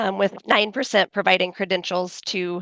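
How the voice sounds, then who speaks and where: Her delivery is monotone and flat, with vocal fry, at a moderate pace. The woman's sound is dry and close with no echo, over a quiet background. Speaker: cybersecurity webinar presenter. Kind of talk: webinar presentation. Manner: conversational, frequent fillers.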